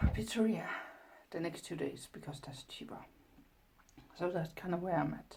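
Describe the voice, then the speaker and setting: A soft-spoken, somewhat breathy woman talks with lively intonation amid audible room echo. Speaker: vlogger and artist. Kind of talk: casual vlog.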